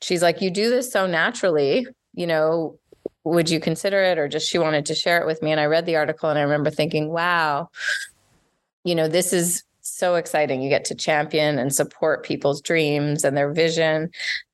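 A woman with a slight Canadian accent speaks at a fairly quick pace, her fairly low voice following a fairly even intonation. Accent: slight Canadian on certain words. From Montreal, Quebec, Canada. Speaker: life coach and entrepreneur. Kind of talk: interview conversation.

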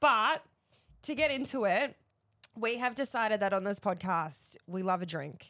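A woman talks at a moderate pace with a bright, sharp tone and a fairly high pitch. Her pitch swings very widely, and she leaves long, frequent pauses. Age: 30s. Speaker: podcast co-host. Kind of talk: casual chat. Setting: studio.

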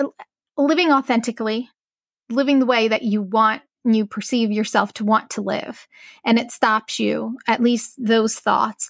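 A woman with a normal speaking voice, fairly high in pitch, at a fairly slow pace and with fairly even intonation, in a dry, close sound with no echo on a very clean recording against a silent background. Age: 40s. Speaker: abuse survivor. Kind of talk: casual chat.

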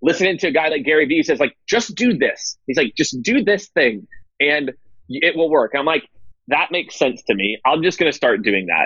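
Fairly high-pitched with vocal fry, a man speaks at a moderate pace. His pitch swings very widely while his loudness stays very even. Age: 30s. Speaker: sales executive and CEO. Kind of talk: interview.

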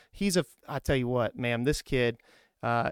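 A man talks in an ordinary speaking voice at a fairly quick pace with lively intonation. The recording is very clean, with a silent background and a dry, close sound with no echo. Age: 30s. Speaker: Navy recruiter and podcast host. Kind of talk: casual interview. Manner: upbeat.

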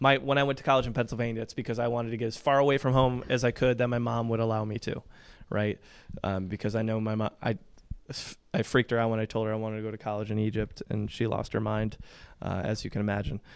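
A man with an American accent at a very fast pace, fairly even intonation, and a quiet background. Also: medium pitch for a man. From Michigan, northwest of Detroit. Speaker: nonprofit executive director. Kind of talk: interview.

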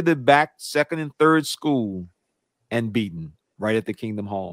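In a dry, close sound with no echo, a man with lively intonation uses an ordinary speaking voice. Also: very clean recording, silent background. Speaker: podcast host. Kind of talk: casual interview chat.

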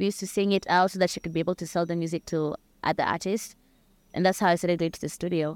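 Very fast and monotone, a woman with a Kenyan accent speaks at a fairly low pitch with flat intonation. The recording is very clean with a silent background and a dry, close sound with no echo. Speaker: singer-songwriter. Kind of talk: interview chat.

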